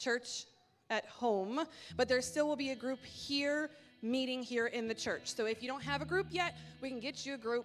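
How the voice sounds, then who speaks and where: Loud and high-pitched, a woman speaks with ordinary pitch variation. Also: moderate pace. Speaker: church announcer. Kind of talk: church announcements. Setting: church sanctuary with congregation. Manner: casual, chatty.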